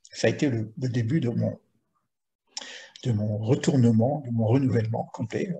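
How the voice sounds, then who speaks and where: Somewhat breathy and at a medium pitch, a man talks at a fairly slow pace with long, frequent pauses. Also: ordinary pitch variation. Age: 70s. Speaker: spiritual teacher. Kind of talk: teaching Q&A. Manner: halting, many repetitions.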